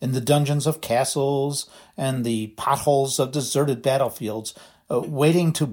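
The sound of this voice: An unforced reading voice keeps its intonation fairly level.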